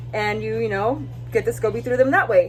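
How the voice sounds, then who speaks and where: A voice with an American accent comes through over noticeable background noise. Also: woman. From US West, California Central Valley. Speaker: lifestyle vlogger. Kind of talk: casual vlog talk.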